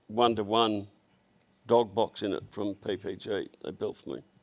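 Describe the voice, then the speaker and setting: The speaker has an Australian accent and fairly even intonation. The pace is fairly slow. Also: man. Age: 70s. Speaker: automotive business owner. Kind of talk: casual chat. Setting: workshop shed.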